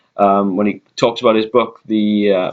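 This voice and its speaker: A man with a Welsh accent speaks at a medium pitch. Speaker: vlogger. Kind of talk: casual chat. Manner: slowed down deliberately; hesitant, many fillers.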